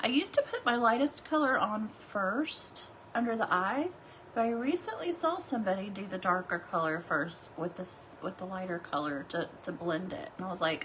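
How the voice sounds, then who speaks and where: A woman's pitch swings very widely while noticeable background noise carries on. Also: medium pitch for a woman, moderate pace. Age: 40s. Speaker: beauty livestreamer. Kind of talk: makeup tutorial livestream. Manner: casual, chatty.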